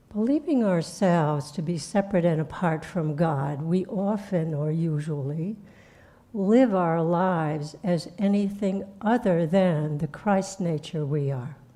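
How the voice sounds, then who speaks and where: In a room with audible echo, a woman with a dark, mellow tone and fairly low pitch talks at a fairly slow pace with ordinary pitch variation. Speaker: spiritual teacher. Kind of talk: sermon. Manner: soft-spoken; halting.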